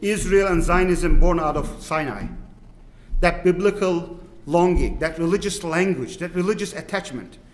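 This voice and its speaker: A man speaks at a high pitch. He has a strong Turkish accent. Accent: thick Turkish. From Turkey. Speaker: imam. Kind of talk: panel dialogue. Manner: halting.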